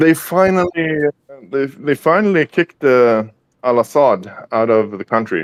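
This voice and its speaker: A man with a Swedish accent talks at a moderate pace, the sound dry and close with no echo. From Sweden. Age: 40s. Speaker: guest in online chat. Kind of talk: casual chat. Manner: halting, many fillers.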